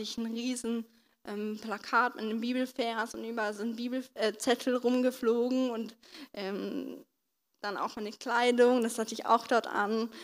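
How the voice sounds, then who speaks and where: Fairly slow, fairly even-toned speech from a woman with a fairly high pitch. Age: 20s. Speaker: stroke survivor, trainee physiotherapist. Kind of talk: testimony. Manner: halting, with many fillers.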